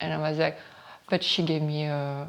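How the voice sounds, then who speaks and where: A woman with a strong French accent speaks at a moderate pace in a very deep, low pitch. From northern France. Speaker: model and beauty entrepreneur. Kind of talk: interview testimony.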